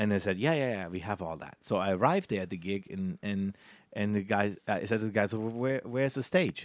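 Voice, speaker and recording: Speaking in a German accent, a man uses lively intonation at a fairly quick pace in a very clean recording with a silent background. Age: 40s. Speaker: magician. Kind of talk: interview. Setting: cruise ship.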